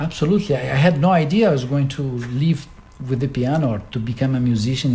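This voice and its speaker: A man with a Portuguese accent and a dark, mellow, somewhat breathy tone, very fast, with ordinary pitch variation. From Brazil. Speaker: concert pianist. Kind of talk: interview. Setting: at his home.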